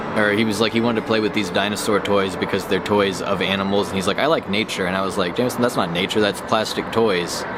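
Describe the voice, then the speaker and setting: Over noticeable background noise, a man with an American accent talks at a very fast pace in a fairly low pitch, with fairly even intonation and hardly any pauses. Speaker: gaming vlogger. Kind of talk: personal reminiscence vlog. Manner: halting.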